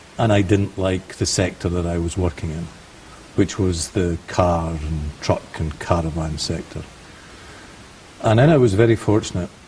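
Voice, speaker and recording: A man with a very deep, low pitch speaks in a Scottish accent with ordinary pitch variation. His pace is moderate, with long, frequent pauses over noticeable background noise. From Scotland. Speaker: finance and leasing specialist. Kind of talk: interview.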